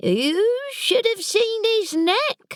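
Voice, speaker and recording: A female-sounding put-on character voice is heard. It is squeaky, with an extremely high pitch. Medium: read story. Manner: cheerful, delighted.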